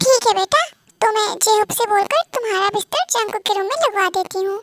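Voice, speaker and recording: A woman does a put-on character voice, squeaky and extremely high-pitched. She talks at a fairly quick pace in a dry, close sound with no echo. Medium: read story. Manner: gentle, caring.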